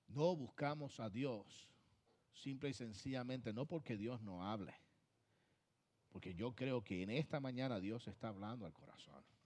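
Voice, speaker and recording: Delivered at a fairly slow pace with long, frequent pauses, the speech has ordinary pitch variation. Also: man, medium pitch for a man. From Puerto Rico. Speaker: pastor. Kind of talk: sermon. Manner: emphatic, repetitive preaching.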